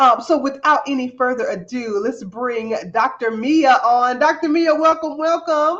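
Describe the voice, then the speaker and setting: A woman speaks in an American accent at a fairly slow pace. Her high-pitched voice carries an animated tone. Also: lively intonation, hardly any pauses. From US South. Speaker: podcast host. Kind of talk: show introduction; interview.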